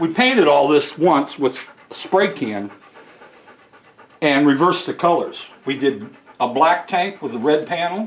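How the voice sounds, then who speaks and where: This man has a fairly high pitch and lively intonation. He talks at a moderate pace over noticeable background noise. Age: 70s. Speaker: motorcycle restorer and collector. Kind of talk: casual chat.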